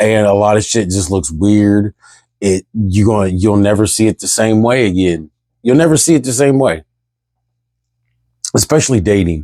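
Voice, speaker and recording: A man's fairly low, dark and mellow voice at a moderate pace, with ordinary pitch variation and long, frequent pauses, in a very clean recording with a silent background and dry, close sound with no echo. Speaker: spiritual vlogger. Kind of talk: casual monologue vlog. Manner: loud; rambling, repetitive restarts.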